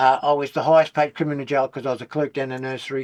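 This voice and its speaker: Delivered very fast in a monotone, flat intonation with an Australian accent, the speech has a dry, close sound with no echo over a quiet background. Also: man. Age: 70s. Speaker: former criminal, drug law reform campaigner. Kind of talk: casual interview. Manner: halting, repetitive.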